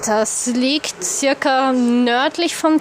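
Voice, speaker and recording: A woman with a high pitch talks at a very slow pace over noticeable background noise. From Upper Austria. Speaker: expat traveller. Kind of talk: interview. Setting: café. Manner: hesitant.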